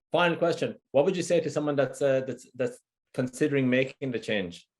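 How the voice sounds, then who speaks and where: With an Irish accent, a man speaks at a fairly quick pace in a fairly high pitch with lively intonation. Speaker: fitness trainer. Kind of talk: interview.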